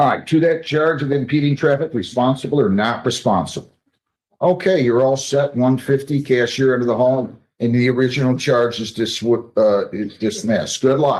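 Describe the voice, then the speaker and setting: Medium in pitch, a man talks with ordinary pitch variation. His pace is moderate. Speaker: judge. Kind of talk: court proceedings. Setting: courtroom. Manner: loud; brisk.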